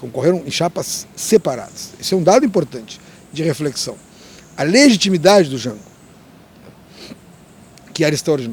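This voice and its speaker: At a moderate pace, a man speaks in a fairly high voice with very wide pitch swings. He pauses long and often. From Rio Grande do Sul, Brazil. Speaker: labour lawyer and politician. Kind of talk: interview answer.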